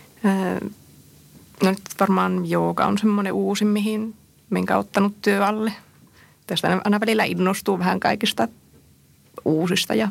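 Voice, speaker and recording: The woman talks at a fairly slow pace. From northern Finland. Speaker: visual artist and comics author. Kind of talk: radio interview. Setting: studio.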